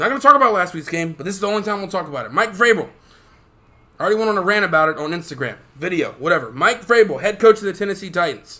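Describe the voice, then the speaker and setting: With a raised, projected voice, a man speaks at a very fast pace and a high pitch, his intonation lively. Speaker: podcast host. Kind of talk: casual sports podcast chat. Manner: animated, excitable.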